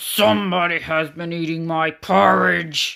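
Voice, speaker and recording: A put-on character voice at a middle pitch and fairly slow pace. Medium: read story.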